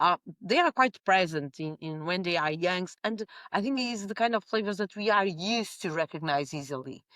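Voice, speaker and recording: A woman with a Portuguese accent talks at a medium pitch with lively intonation. The recording is very clean, with a silent background and a dry, close sound with no echo. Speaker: winemaker. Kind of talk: interview conversation. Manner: halting with many fillers.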